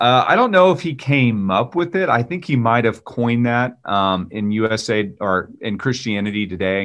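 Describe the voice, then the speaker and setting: At a moderate pace, a man speaks with hardly any pauses. His pitch is medium and his intonation lively. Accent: Texan. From Texas. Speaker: pastor and former Marine. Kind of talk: casual interview conversation.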